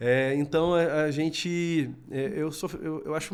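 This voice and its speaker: In a very clean recording with a silent background, a man speaks in a Minas Gerais accent with fairly even intonation. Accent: keeps his Minas Gerais. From Minas Gerais, Brazil (Varginha). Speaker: robotics educator. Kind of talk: podcast interview. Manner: halting, many fillers.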